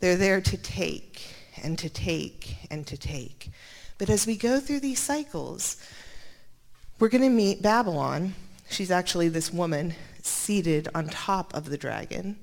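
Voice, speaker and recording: A woman speaks at a moderate pace with a fairly low pitch, vocal fry, lively intonation, and long, frequent pauses. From Montana. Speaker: Bible scholar. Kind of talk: lecture.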